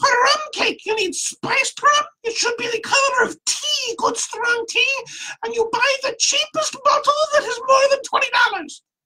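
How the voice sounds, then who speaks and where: A squeaky, put-on character voice at a moderate pace. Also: man, extremely high pitch for a man. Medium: read story. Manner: terse, clipped broken phrasing.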